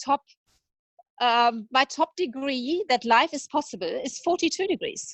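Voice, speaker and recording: With a high pitch and lively intonation, a woman speaks at a fairly slow pace. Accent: slight German. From Germany. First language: German. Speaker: veterinarian. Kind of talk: interview conversation.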